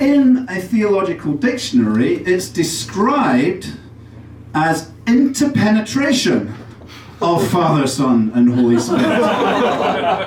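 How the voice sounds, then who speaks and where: Through audible room echo and noticeable background noise, a man with an English accent speaks very slowly at a high pitch, his pitch swinging very widely. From England, Derby. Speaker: comedian. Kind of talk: stand-up. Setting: stage with audience. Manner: halting.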